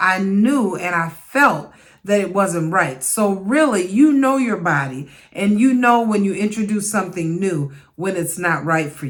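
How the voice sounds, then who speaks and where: Lively intonation from a woman at medium pitch, fairly slow in pace, with audible room echo. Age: 60s. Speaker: midlife fitness vlogger. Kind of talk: casual talk to camera.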